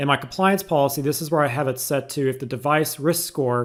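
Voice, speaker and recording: A man with an ordinary speaking voice, a fairly high pitch and ordinary pitch variation, on a very clean recording with a silent background. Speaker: tech YouTuber. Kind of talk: tutorial.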